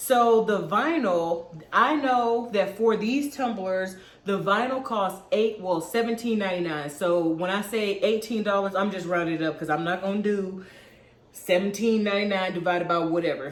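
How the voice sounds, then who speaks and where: An animated woman speaks at a moderate pace, with audible room echo. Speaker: crafting YouTuber. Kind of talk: tutorial. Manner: casual, animated.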